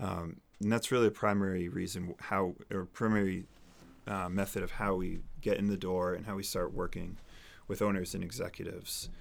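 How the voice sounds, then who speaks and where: A man with a normal speaking voice and an American accent talks at a moderate pace and a fairly low pitch with fairly even intonation, on a very clean recording with a silent background. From New Hampshire, US. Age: 30s. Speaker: financial advisor. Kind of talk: interview.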